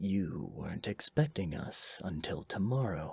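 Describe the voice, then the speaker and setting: A man puts on a character voice that is fairly low, raspy and hissing, with lively intonation at a moderate pace. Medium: read story. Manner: hissing, menacing.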